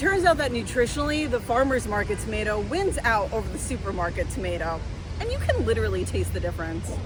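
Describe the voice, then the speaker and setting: A woman with an American accent talks at a very fast pace over music in the background. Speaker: broadcast journalist, reporter, anchor and host.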